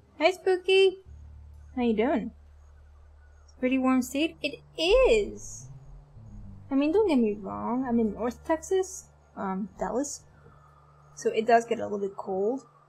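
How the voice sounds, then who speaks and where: A high-pitched female voice with very wide pitch swings, big swings in loudness and long, frequent pauses, over music in the background. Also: fairly slow pace. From Europe. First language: a European language, not English. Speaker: streamer. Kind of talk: casual chat. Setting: livestream. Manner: unusual way of speaking.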